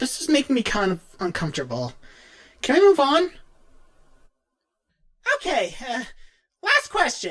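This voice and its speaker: In a put-on character voice pitched extremely high, a man speaks at a moderate pace with a nervous tone. Long pauses come often. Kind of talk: in-character fan Q&A. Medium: role play. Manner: nervous, casual.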